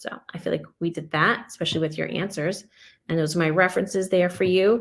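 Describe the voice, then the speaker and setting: Fairly low in pitch, a woman speaks with fairly even intonation in a normal speaking voice. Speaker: educator presenting on English learners and MTSS. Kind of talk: webinar presentation.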